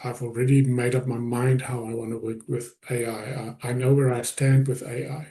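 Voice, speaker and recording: A man with a non-native accent speaks at a fairly slow pace in a medium pitch, his tone dark and mellow. His voice is somewhat breathy, with fairly even intonation. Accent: foreign. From South Africa. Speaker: business coach / presenter. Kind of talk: webinar presentation.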